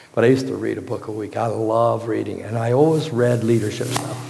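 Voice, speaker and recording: An American accent with noticeable background noise and audible room echo. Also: man. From Virginia, US. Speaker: pastor. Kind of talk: sermon.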